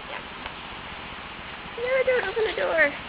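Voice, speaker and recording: A fairly slow pace against noticeable background noise. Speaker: horse barn volunteer. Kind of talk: casual talk to camera. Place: farm machine. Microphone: phone near.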